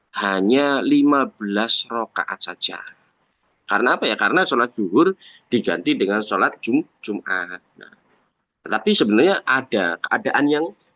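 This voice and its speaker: In a dry, close recording with no echo, a man at medium pitch speaks at a moderate pace with a bright, sharp tone, big swings in loudness and very wide pitch swings. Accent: Javanese. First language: Javanese (speaking Indonesian). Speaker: Islamic religious teacher. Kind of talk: religious text lecture. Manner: halting, with self-corrections.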